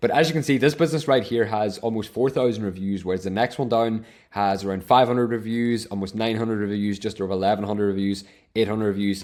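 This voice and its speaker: Speaking very fast with an Irish accent, a man with a fairly low pitch uses ordinary pitch variation on a very clean recording with a silent background. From Ireland. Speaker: online business coach, software reseller. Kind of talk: tutorial.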